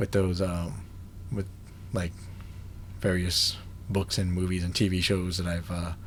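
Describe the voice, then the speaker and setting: Speaking at a fairly slow pace, a man with a very deep, low pitch keeps a monotone, flat intonation and sounds somewhat breathy. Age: 30s. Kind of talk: casual vlog talk to camera. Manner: hesitant, many fillers.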